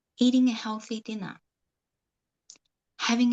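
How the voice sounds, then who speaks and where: A woman's fairly high, somewhat breathy voice proceeds at a moderate pace. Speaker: author. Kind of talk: guided meditation. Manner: soft-spoken.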